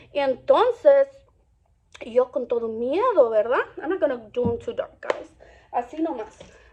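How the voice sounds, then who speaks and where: A woman speaks at a high pitch in an animated tone, with very wide pitch swings. She leaves long, frequent pauses. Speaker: beauty and lifestyle vlogger. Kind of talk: storytime while doing makeup. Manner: fast; animated, code-switching English and Spanish.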